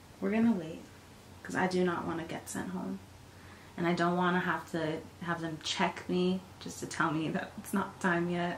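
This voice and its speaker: Speaking at a moderate pace in a flat monotone, a woman with a fairly low pitch is heard over light background noise and audible room echo. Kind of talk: casual vlog chat. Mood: calm, smiling. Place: home room. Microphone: camera far.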